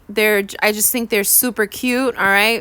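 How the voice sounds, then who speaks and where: A woman with a New York accent speaks at a fairly high pitch, her tone bright and sharp and her intonation fairly even. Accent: New York (Bronx). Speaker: science teacher / exam tutor. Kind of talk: exam review lesson. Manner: casual, conversational.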